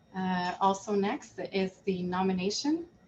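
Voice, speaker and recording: A woman with a Quebec accent talks over noticeable background noise. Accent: Canadian French-accented English. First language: French. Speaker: board chair. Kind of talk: virtual annual general meeting. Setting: video call.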